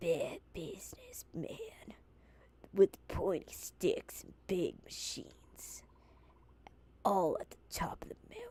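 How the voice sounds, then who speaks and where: A put-on, female-sounding character voice whispers at a fairly slow pace with long, frequent pauses. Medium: virtual streamer.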